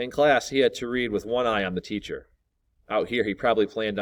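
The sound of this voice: An unforced reading voice with ordinary pitch variation, set against a quiet background.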